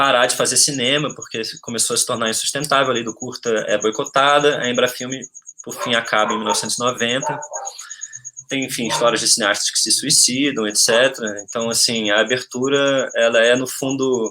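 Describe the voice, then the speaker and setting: Over noticeable background noise, a man talks fairly quickly at a medium pitch with flat, monotone intonation. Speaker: film researcher. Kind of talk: webinar talk. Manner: fast.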